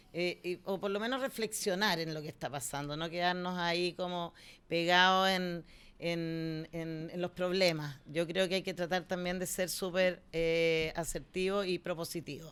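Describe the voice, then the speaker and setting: Over a silent background on a very clean recording, a woman with a fairly low voice speaks at a fairly slow pace with fairly even intonation. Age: 60s. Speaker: cultural center director. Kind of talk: interview conversation. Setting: studio. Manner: halting.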